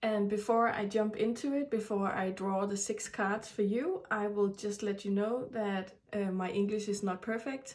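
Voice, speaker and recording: A woman with a Danish accent and a fairly high voice speaks at a moderate pace with fairly even intonation, noticeable background noise behind her. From Denmark. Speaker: tarot reader. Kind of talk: tarot reading. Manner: halting.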